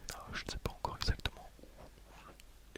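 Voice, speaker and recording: A whispering man goes at a very slow pace while noticeable background noise carries on behind him. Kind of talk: ASMR ramble. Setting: headset microphone. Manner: whispered.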